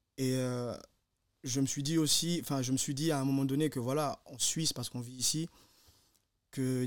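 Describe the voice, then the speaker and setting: With fairly high pitch and monotone, flat intonation, a man talks at a fairly quick pace in a very clean recording with a silent background. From Guinea, moved to Switzerland at 13. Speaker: podcast co-host. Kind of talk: casual chat.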